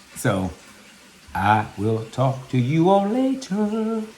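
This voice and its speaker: The tone is animated, with very wide swings in pitch. Background noise is noticeable throughout. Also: man. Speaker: vlogger. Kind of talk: casual vlog monologue.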